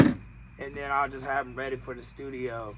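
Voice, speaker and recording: Medium-pitched male speech, monotone and flat, over noticeable background noise. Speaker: podcast co-host, rapper. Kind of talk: casual chat.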